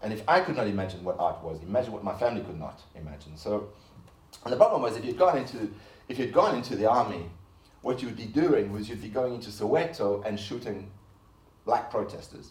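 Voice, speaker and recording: Audible room echo surrounds a man talking very fast in a fairly low, somewhat breathy voice. His intonation is lively and his loudness swings widely. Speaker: artist. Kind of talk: lecture.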